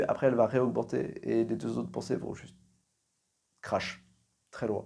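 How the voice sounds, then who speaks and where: Quiet and close to level in intonation, a man speaks with a dark, mellow tone and vocal fry on a very clean recording with a silent background. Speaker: podcaster. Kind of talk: solo monologue, endurance podcast challenge. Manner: quieter voice.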